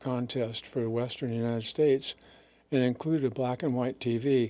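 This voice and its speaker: This man has a medium pitch and a dark, mellow tone, and his intonation stays fairly even. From Northern California (Sacramento area). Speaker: anesthesiologist. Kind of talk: interview. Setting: studio webcast.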